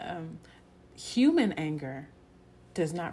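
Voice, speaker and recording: In an American accent, a woman speaks with a very deep, low pitch, a dark, mellow tone and vocal fry. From Texas. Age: young. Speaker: podcast host. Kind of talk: devotional talk. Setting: recording on camera at home. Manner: conversational, with many fillers.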